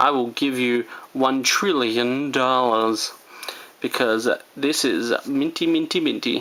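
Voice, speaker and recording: The speaker has an Australian accent, heard over noticeable background noise. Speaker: comic book YouTuber. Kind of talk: casual haul video talk. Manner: casual, rambling with fillers; slow and soft.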